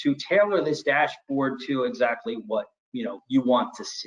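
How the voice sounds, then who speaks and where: Fairly high-pitched for a man, his voice makes very wide pitch swings. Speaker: IT storage solutions presenter. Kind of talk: webinar product demo. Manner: fast; hesitant, with fillers.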